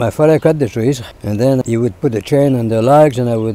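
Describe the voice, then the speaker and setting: This man has a strong French Canadian accent and a dark, mellow tone. He speaks at a moderate pace and medium pitch, with ordinary pitch variation. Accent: thick French-Canadian. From Quebec, Canada. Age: 80s+. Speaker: former farmer. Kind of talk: interview answer.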